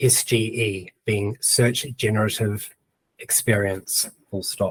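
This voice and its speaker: Somewhat breathy and at a very slow pace, a voice with a New Zealand accent keeps fairly even intonation in a dry, close sound with no echo. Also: man. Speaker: webinar presenter on AI blogging. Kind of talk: tutorial. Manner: dictating prompts aloud with spoken punctuation.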